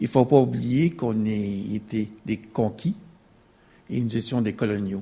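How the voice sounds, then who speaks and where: A somewhat breathy man's voice, fairly low in pitch with ordinary pitch variation and a dark, mellow tone, at a fairly slow pace with long, frequent pauses. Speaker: audience member. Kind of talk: audience question.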